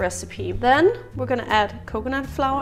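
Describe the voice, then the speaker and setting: Faint music sits in the background. Over it, a woman talks at a moderate pace. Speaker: home cook vlogger. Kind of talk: casual cooking tutorial. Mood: relaxed, cheerful. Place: kitchen. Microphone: phone near.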